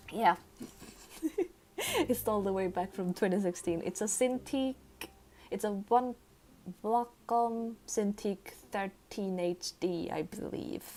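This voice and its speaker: With long, frequent pauses, a woman speaks at a very slow pace in a dark, mellow tone. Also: medium pitch for a woman, ordinary pitch variation. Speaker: vtuber art streamer. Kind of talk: casual chat while drawing on stream. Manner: mumbles sometimes.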